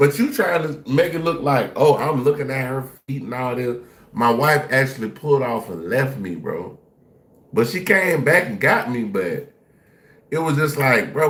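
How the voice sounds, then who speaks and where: A man's animated voice with vocal fry, fairly high in pitch, very wide pitch swings and a moderate pace. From Jacksonville, Florida. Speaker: live-stream reaction host. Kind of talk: casual live-stream reaction commentary.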